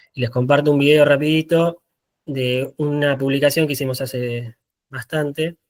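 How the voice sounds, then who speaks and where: A man talks in a fairly high pitch with monotone, flat intonation. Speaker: photographer. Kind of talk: talk presentation. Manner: fast; halting.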